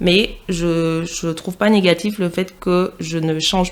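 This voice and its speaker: A woman speaks with a Parisian accent at a fairly low pitch. Noticeable background noise runs behind her. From Martinique, moved to Paris region as teen. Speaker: podcast guest. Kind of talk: casual chat.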